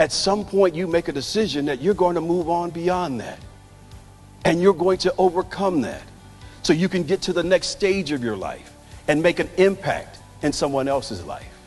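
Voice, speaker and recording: With music in the background, a man speaks at a moderate pace and a high pitch, his pitch varying in an ordinary way. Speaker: keynote speaker. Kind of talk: motivational keynote speech.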